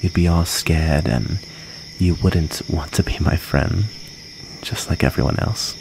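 Soft-spoken and gentle in tone, a man with a very deep, low voice talks over noticeable background noise. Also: ordinary pitch variation, dry sound with no echo. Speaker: ASMR roleplay performer. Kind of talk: ASMR roleplay, soothing in-character comfort storytelling. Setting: close-mic ASMR recording. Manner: soft, gentle and intimate, slow and tender; wistful, halting and vulnerable while recounting being bullied. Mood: gentle, comforting, playful. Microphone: studio mic.

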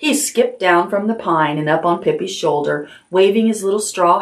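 The speaker uses an unforced reading voice.

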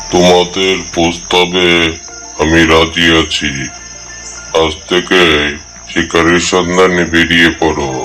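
A man uses a cartoonish character voice with a very deep, low pitch and monotone, flat intonation. He speaks at a very slow pace while clear music plays in the background. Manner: gruff, commanding.

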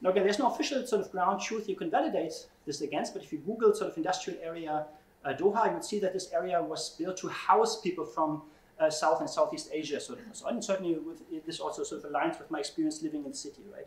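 A man speaks very fast in a high voice, his pitch swinging very widely and his loudness rising and falling sharply, with audible echo from the room. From Germany. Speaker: computational social scientist. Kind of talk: keynote lecture. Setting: conference stage with audience. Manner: frequent fillers and hesitations. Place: classroom.

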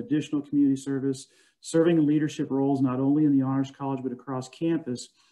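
Speaking at a very fast pace, a man talks with an American accent. The background is quiet. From US Midwest. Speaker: honors college director and professor. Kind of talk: casual alumni chat and program update. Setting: video call. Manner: warm, informal. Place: home room. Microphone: video call.

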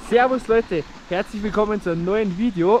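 The sound is dry, without echo, and background noise is noticeable. A man talks at a moderate pace. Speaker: vlogger. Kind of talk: casual vlog chat. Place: open country. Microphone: phone near.

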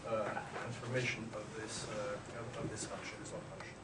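A man talks over loud background noise. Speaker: visiting ambassador lecturer. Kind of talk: lecture. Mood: polite, lightly humorous. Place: classroom.

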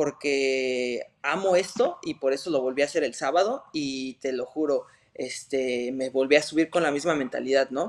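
Over a quiet background, a man speaks fairly slowly at a fairly high pitch with ordinary pitch variation. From Mexico City. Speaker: MMA fighter; interviewee. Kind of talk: interview. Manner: hesitant, many fillers. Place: home room. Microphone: video call.

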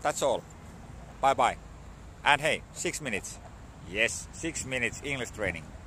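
Light background noise accompanies a man speaking at a moderate pace, in a dry sound with no echo. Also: medium pitch for a man, lively intonation. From Finland. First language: Finnish. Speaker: vlogger learning English. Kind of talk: casual vlog monologue. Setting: outdoors at a dog park. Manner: halting, many fillers and repetitions. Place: street. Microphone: phone near.

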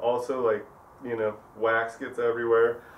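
Over light background noise, a man speaks at a moderate pace. His monotone, flat intonation carries audible room echo. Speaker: glassblower demonstrating tools. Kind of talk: tutorial. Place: shop.

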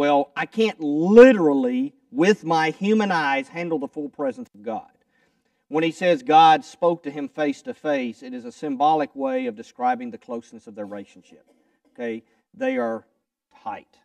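In a Southern US accent, a man speaks at a moderate pace in a fairly high pitch, with very wide pitch swings and big swings in loudness. The sound is dry with no echo, over a quiet background. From US South, Kentucky. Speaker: preacher. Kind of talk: sermon. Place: church. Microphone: lapel.

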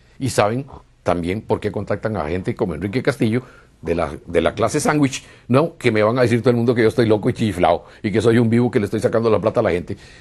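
This man's speech races along at a very fast pace, his pitch varying in an ordinary way. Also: medium pitch for a man. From Costa Rica. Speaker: UFO contactee; interviewee. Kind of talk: interview testimony. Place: home room. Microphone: lapel.

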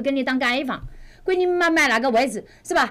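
At a very fast pace, a woman talks with a high pitch and lively intonation. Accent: Wuhan. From Wuhan, China. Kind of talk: livestream real-estate advice. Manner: brash, fast, heavy swearing.

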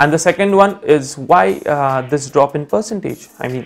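The speech moves at a moderate pace while faint music plays in the background. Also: man. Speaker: educator. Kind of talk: lecture with anecdote. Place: home room. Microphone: lapel.

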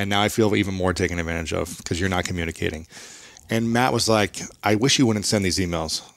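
At a very fast pace, a man speaks with a very deep, low pitch and ordinary variation, the sound dry with no echo and the background quiet. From US Midwest. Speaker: author and podcaster, former athlete; podcaster. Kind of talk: interview conversation. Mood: reflective personal storytelling. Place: studio.

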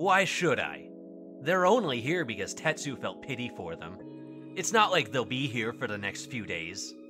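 Over clear background music, a man puts on a gruff character voice and speaks at a moderate pace. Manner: gruff, dismissive, irritable.

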